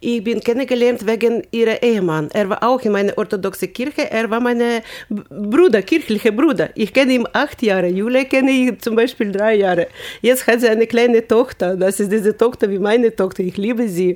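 Her pace is moderate. She speaks with ordinary pitch variation. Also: fairly high pitch for a woman. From Ukraine. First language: Ukrainian or Russian (speaking German). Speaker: volunteer. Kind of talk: interview. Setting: studio. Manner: animated.

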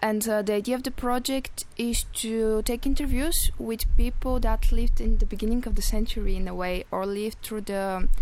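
With a Bulgarian accent, a woman talks at a moderate pace in a fairly high pitch and fairly even intonation. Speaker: EU volunteer at community radio. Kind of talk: radio interview. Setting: radio studio.

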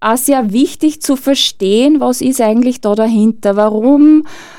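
At a fairly slow pace, a woman speaks in a dark, mellow tone with ordinary pitch variation. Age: 50s. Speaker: burnout prevention trainer. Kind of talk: radio interview.

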